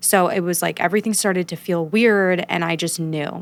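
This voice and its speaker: A woman's fairly low-pitched voice with vocal fry, at a fairly quick pace and with fairly even intonation, on a very clean recording with a silent background. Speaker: singer and actor, epilepsy advocate. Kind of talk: interview conversation.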